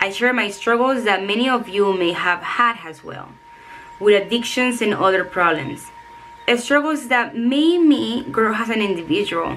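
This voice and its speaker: A woman with a Spanish accent, fairly high in pitch and lively in intonation, at a moderate pace amid noticeable background noise and audible room echo. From El Salvador. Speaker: self-help author and coach. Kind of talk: reading aloud; vlog talk to camera.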